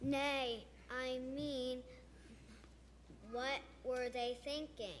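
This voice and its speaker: A female-sounding, put-on character voice at a high pitch, very slow pace with long, frequent pauses, and clear background noise. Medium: stage play.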